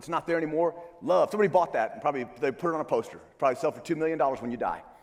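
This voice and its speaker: A man talks at a very fast pace in a high voice. Noticeable background noise is present. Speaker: church security trainer. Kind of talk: conference presentation. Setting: stage with audience. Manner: halting with many fillers.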